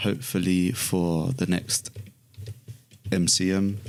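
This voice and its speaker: A man's very deep, low voice in a relaxed tone, with a British accent. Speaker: illustrator. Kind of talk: tutorial. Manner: casual, relaxed.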